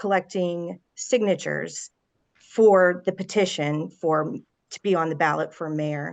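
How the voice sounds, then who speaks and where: A woman talks at a fairly slow pace with an American accent in a normal speaking voice, her pitch fairly low with ordinary variation. Her loudness swings widely against a quiet background. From Ohio. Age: 40s. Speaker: mayoral candidate. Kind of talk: candidate interview.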